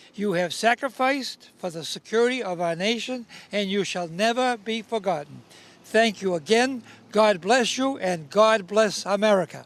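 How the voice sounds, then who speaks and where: A man's high-pitched voice, with ordinary pitch variation, keeps a moderate pace. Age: 80s+. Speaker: war veteran. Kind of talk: reading a prepared speech.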